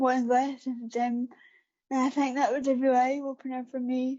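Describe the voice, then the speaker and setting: A woman with a Scottish accent speaks at a moderate pace in a high pitch. Her intonation is monotone and flat. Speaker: para athlete. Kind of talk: interview. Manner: hesitant, many fillers.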